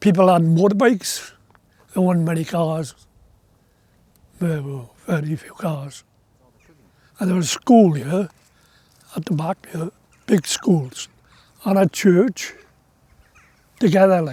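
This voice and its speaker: A man with a South Wales accent speaks at a fairly slow pace with long, frequent pauses. His high-pitched voice has a dark, mellow tone and ordinary pitch variation. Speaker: former coal miner. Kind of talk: documentary interview.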